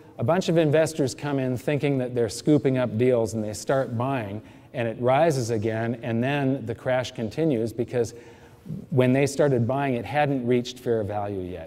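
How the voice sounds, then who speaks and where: Against audible room echo, a man talks at a medium pitch and a moderate pace with ordinary pitch variation. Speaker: financial educator giving a seminar talk. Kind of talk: lecture.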